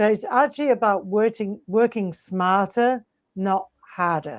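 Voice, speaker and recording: A woman with a plain, everyday voice of medium pitch speaks at a fairly slow pace. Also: ordinary pitch variation. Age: 60s. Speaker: health and fitness coach. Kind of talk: podcast interview.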